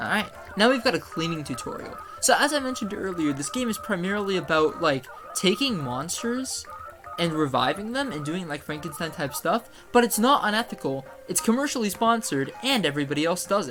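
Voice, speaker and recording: Over music in the background, the speech moves at a fairly quick pace. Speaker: gaming YouTuber. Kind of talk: let's play commentary. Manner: casual, joking.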